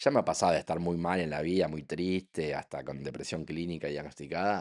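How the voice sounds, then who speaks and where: A man speaks at a fairly quick clip in a very deep, low voice. His tone is animated, and the background is quiet. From Argentina. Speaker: physicist and science communicator. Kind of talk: podcast interview. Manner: fast.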